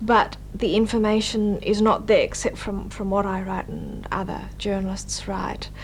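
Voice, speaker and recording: A woman speaks at a moderate pace, with audible echo from the room and noticeable noise in the background. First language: Indonesian. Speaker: journalist and author. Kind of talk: interview. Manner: hesitant, with fillers.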